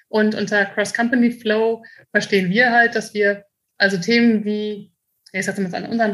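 A woman talks at a moderate pace in a fairly high pitch with fairly even intonation, a normal speaking voice. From Germany, Münster. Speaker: company managing director. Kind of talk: interview.

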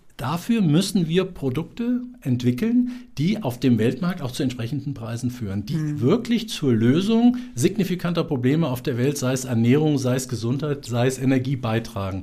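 Somewhat breathy and dark, mellow in tone, the voice moves at a moderate pace with lively intonation and hardly any pauses. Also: man, fairly high pitch for a man. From Central Hesse, Germany (Marburg). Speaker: business development agency director. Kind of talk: interview. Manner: animated.

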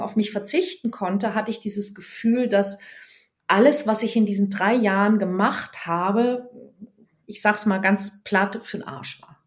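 At a fairly slow pace, a woman speaks with a medium pitch, ordinary pitch variation and a somewhat breathy quality. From Germany, Bergstraße region (Hesse/Baden border). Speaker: dating and relationship coach. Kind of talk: casual interview.

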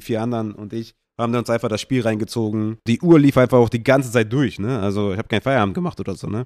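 On a very clean recording with a silent background and a dry, close sound with no echo, a man speaks very fast at medium pitch with ordinary pitch variation. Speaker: fantasy football podcast host. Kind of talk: casual solo podcast talk.

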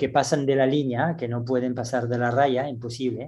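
With a French accent, a man speaks at a medium pitch in a dark, mellow tone with fairly even intonation. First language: French (speaking Spanish). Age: 60s. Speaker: gymnastics coach. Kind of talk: interview. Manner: halting.

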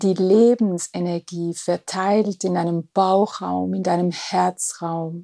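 A woman speaks at a very slow pace with a medium pitch, a dark, mellow tone and fairly even intonation. The recording is very clean with a silent background and a dry, close sound with no echo. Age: 50s. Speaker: spiritual podcast host. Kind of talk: guided meditation.

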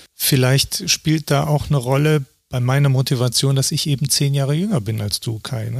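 Over a silent background on a very clean recording, a man talks at a moderate pace in a medium-pitched, somewhat breathy voice with ordinary pitch variation. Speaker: documentary photographer. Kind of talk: interview.

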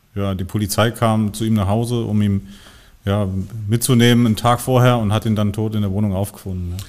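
At a moderate pace, a man with fairly low pitch and fairly even intonation speaks in an ordinary speaking voice. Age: 40s. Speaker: crime scene cleaning operations manager. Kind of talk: casual chat.

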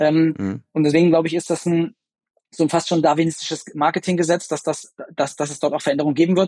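The man's voice is fairly high in pitch yet dark and mellow in tone. He talks at a very fast pace with fairly even intonation. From Bavaria, partly raised abroad. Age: 30s. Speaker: sports marketing agency executive. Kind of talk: podcast interview. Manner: hesitant, many fillers.

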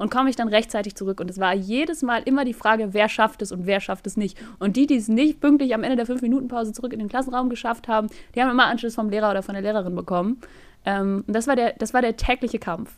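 This woman talks at a very fast pace, her pitch fairly high with ordinary variation. The recording is very clean, with a silent background. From northern Germany. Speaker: podcast co-host. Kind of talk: casual chat.

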